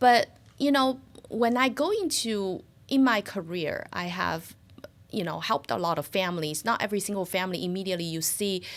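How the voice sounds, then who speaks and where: Speaking with a Chinese accent, a woman keeps a fairly quick pace. Her medium-pitched voice has lively intonation. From China (Shanghai). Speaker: financial services business owner. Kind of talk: interview. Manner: hesitant, many fillers.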